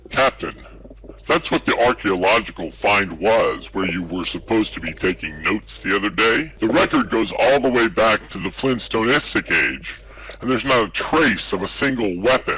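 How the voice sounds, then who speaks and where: A man in a put-on character voice over clear background noise. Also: fairly low pitch for a man, moderate pace. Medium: audio drama. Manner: earnest, polite.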